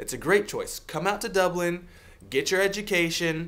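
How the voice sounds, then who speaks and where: A man with an American accent speaks at a moderate pace in a high-pitched voice. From US Pacific Northwest, Seattle. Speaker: video blogger, IT worker. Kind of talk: advice vlog. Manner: earnest, emphatic.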